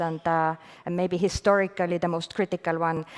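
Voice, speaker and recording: A woman speaks in a fairly low voice with monotone, flat intonation. The recording is very clean with a silent background. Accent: Estonian. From Estonia. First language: Estonian. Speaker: venture fund manager. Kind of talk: panel discussion. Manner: hesitant, many fillers.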